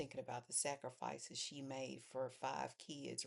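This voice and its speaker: The woman here talks at a fairly slow pace. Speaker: faith vlogger. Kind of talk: personal testimony monologue. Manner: low, restrained pitch; halting with fillers.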